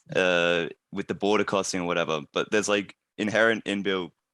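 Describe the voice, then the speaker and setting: Recorded very cleanly against a silent background, dry and close with no echo, a man with an Australian accent speaks in a bright, sharp tone with monotone, flat intonation. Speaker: climate advocate trainee. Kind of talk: Q&A session. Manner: halting.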